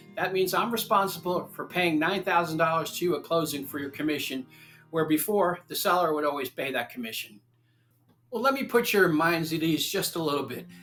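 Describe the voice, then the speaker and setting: With music in the background, a man talks at a fairly quick pace in an American accent. His pitch is high, with ordinary variation. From Long Island, New York. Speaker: real estate agent. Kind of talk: informative talk to camera.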